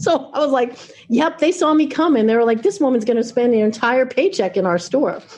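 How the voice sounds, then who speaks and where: With an American accent, a woman speaks at a fairly high pitch with very wide pitch swings. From New York, Long Island. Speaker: music venue executive. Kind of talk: podcast interview. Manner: animated.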